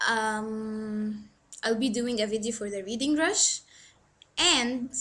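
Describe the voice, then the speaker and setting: A woman's bright, sharp, fairly high voice with ordinary pitch variation, a very slow pace and audible room echo. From Egypt. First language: Arabic. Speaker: book vlogger. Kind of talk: casual vlog monologue. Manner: hesitant, filler-heavy.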